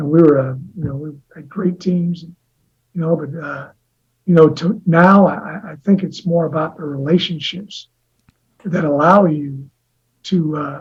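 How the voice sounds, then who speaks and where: With an American accent, the speaker uses fairly even intonation and big swings in loudness. Long, frequent pauses break up the speech. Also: man, fairly high pitch for a man. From US Midwest. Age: 60s. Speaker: college football head coach. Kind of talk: interview. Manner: halting, many repetitions and fillers; rambling tangents.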